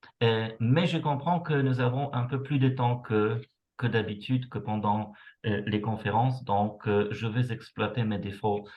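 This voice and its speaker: The speaker is a man. His voice rises and falls normally. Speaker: university researcher. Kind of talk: lecture. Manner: slow; hesitant, many fillers.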